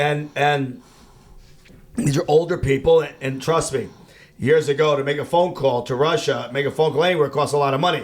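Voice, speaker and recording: Speaking with a slight Chicago accent, a man keeps his intonation fairly even. His pitch is fairly high and his pace fairly quick. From US Midwest, Chicago. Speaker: rabbi, outreach worker. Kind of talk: casual interview.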